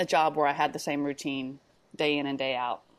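A woman's very deep, low pitch with fairly even intonation and an American accent, at a moderate pace. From Texas. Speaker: business intelligence consultant. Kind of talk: casual interview chat.

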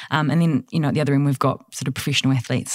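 A woman with a New Zealand accent and a very deep, low pitch. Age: 30s. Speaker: studio manager. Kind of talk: casual chat. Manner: fast talker, highly strung.

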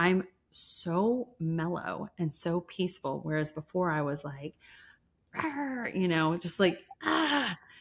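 A woman's somewhat breathy, fairly low voice with lively intonation at a very slow pace, on a very clean recording with a silent background. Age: 50s. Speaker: entrepreneur. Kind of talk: interview.

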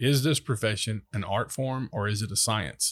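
A somewhat breathy male voice with fairly even intonation, on a very clean recording with a silent background. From US South, Mississippi Gulf Coast. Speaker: city manager. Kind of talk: podcast interview. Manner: halting.

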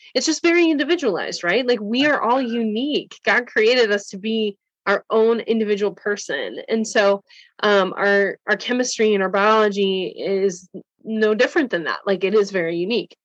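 With an American accent and a normal speaking voice, a woman talks at a fairly high pitch and moderate pace with ordinary pitch variation against a quiet background. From Wisconsin, US Upper Midwest. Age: 30s. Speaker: functional nutrition practitioner and coach. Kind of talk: interview conversation.

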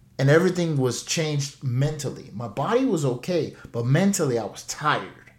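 Somewhat breathy and fairly high in pitch, a man speaks with lively intonation. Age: 30s. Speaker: financial coach podcast host. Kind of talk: solo podcast monologue.

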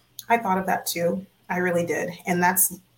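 The speaker is a woman. There is some breathiness to her voice. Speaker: podcast co-host. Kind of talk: casual sports talk livestream. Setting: livestream on social media.

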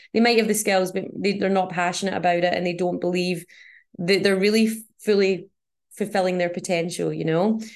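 Against a quiet background, a woman speaks at medium pitch and a fairly quick pace. Her intonation is monotone and flat. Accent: Scottish. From Scotland.

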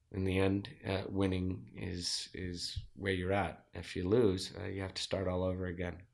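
Audible room echo surrounds a man with a very deep, low pitch who speaks at a moderate pace with fairly even intonation and hardly any pauses. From Zimbabwe. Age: 40s. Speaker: entrepreneur and former Marine. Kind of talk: interview.

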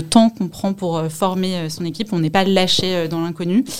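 At a moderate pace, a woman uses an ordinary speaking voice at medium pitch with fairly even intonation. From Paris, France. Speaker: fund management analyst. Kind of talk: interview testimony.

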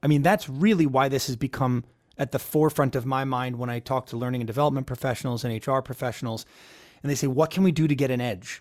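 A man with a Philadelphia accent at medium pitch, very fast pace and ordinary pitch variation, on a very clean recording with a silent background. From Philadelphia area, Pennsylvania. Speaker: keynote speaker. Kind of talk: interview.

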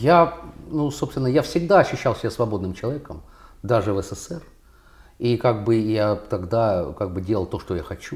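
Speaking at a moderate pace with a medium pitch, a man sounds somewhat breathy and lively in intonation, with long, frequent pauses. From Russia. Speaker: contemporary artist. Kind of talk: casual interview conversation.

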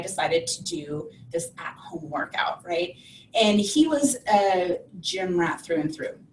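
Speaking at a fairly slow pace with lively intonation, this is an ordinary speaking voice. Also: woman. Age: 40s. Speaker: online fitness coach. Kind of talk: interview. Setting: video call.

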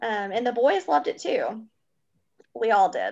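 Someone with an American accent speaks over a quiet background. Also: woman. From US South, Kentucky and upstate South Carolina. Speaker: travel agent, guest. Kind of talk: casual chat.

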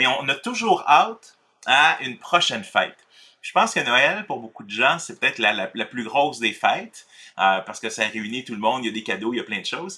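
A man's bright, sharp voice with a Quebec accent, medium in pitch, at a fairly quick pace, with big swings in loudness and very wide pitch swings. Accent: Québécois French. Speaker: pastor and author. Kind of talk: casual conversation.

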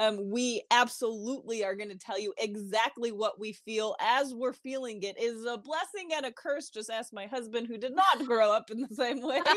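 A woman at a moderate pace with ordinary pitch variation and hardly any pauses, against noticeable background noise. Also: fairly high pitch for a woman. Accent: American. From New York. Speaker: blogger. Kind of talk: casual chat. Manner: loud; animated.

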